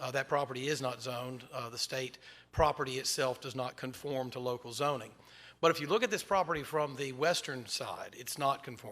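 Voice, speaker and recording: A man speaks at a fairly quick pace with a medium pitch, fairly even intonation and a bright, sharp tone. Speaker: attorney speaking for school board at public hearing. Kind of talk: public comment at zoning hearing. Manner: fast.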